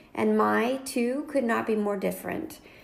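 A woman speaks with an American accent. There is audible echo in the room. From North Carolina. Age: 40s. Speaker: podcast co-host. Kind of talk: casual chat.

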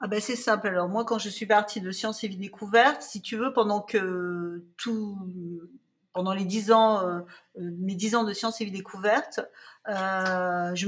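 A woman's medium-pitched voice, fairly slow and fairly even in intonation, on a very clean recording over a silent background. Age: 50s. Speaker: children's magazine founder and editor. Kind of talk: interview conversation. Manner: hesitant, many fillers and repetitions.

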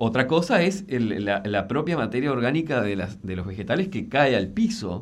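A man's medium-pitched voice at a moderate pace, hardly any pauses, very wide pitch swings and audible room echo. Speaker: landscape designer and environmental columnist. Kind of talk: radio interview column. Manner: halting, with frequent repetitions.

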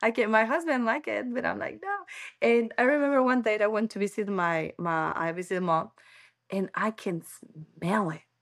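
Over a very clean recording with a silent background, a woman talks at a moderate pace with lively intonation. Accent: Spanish. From Ecuador, Quito. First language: Spanish. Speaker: podcast guest, mother. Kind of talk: casual interview. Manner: halting.

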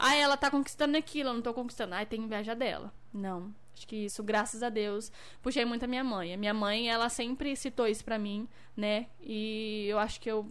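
Speaking at a fairly quick pace, a woman has an unremarkable speaking voice, fairly high in pitch with ordinary pitch variation. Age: 20s. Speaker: dancer and model. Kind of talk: casual livestream interview chat.

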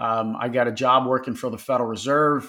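On a very clean recording with a silent background, a man with a Philadelphia accent speaks at a medium pitch with fairly even intonation. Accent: Philadelphia American. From Philadelphia, US. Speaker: business owner. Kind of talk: interview conversation. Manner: halting, repeats words.

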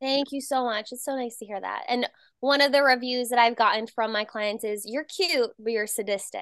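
The speaker has an American accent. Pitch variation is ordinary. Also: woman, high pitch for a woman, moderate pace, big swings in loudness. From New Jersey. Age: 20s. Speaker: personal trainer and screenwriter. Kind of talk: casual chat.

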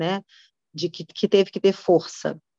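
A woman at a medium pitch and a fairly slow pace, in a dry, close sound with no echo. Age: 40s. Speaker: women's ministry speaker. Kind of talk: sermon. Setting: video call.

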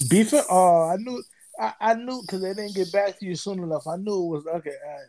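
The man's pitch is high and his tone dark and mellow. His loudness swings a great deal. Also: ordinary pitch variation, fairly quick pace. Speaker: podcast co-host. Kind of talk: casual chat. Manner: halting, repeats words.

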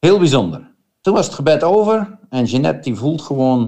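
Very wide pitch swings mark this man's dark, mellow tone. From Netherlands. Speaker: missionary. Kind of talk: testimony. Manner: halting.

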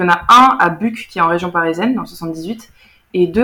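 Her tone is bright and sharp, with a fairly low pitch for a woman and ordinary pitch variation. She keeps a moderate pace. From France, German-French bilingual family. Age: 20s. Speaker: former student of a bilingual school. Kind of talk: casual interview.

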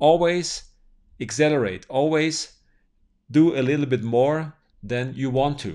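The recording is very clean, with a silent background. A man with a German accent talks at a moderate pace. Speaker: podcaster and business owner. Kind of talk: motivational podcast monologue.

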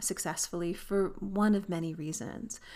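An unremarkable speaking voice with a Canadian accent and ordinary pitch variation moves at a fairly slow pace. The recording is very clean, with a silent background. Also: woman. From Canada. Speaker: aviation professor and textbook author. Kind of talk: educational monologue.

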